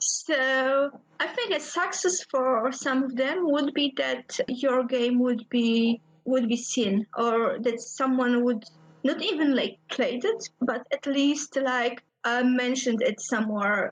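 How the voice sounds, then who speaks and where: At a very slow pace, a woman speaks in a high voice with very even loudness. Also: ordinary pitch variation. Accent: Polish. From Poland. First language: Polish. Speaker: indie game designer. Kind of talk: interview.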